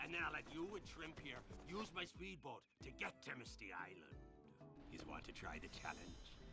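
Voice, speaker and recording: A man puts on a gruff character voice at a moderate pace over loud background noise. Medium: video game. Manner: gruff, folksy, salty.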